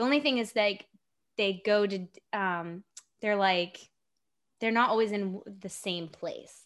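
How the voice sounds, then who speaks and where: A woman with an ordinary speaking voice, medium pitch, moderate pace, and a very clean recording over a silent background. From Japan (US military family, Virginia home base). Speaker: actor and indie filmmaker. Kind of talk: casual chat.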